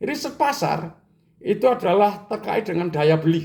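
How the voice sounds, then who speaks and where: A man's high-pitched voice at a fairly slow pace. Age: 70s. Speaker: business educator, retired entrepreneur. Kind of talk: lecture.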